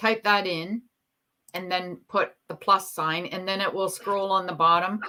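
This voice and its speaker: A woman speaks with a strong Canadian accent at a medium pitch. Her intonation is monotone and flat. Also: fairly slow pace. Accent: Canadian, still strong. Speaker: YouTuber guest on live stream. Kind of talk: casual chat.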